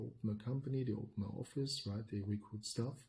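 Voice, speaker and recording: Speaking with a German accent, a man has a dark, mellow, somewhat breathy tone at medium pitch, fairly even intonation and a fairly quick pace. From Germany. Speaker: podcast co-host, business consultant. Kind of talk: podcast discussion.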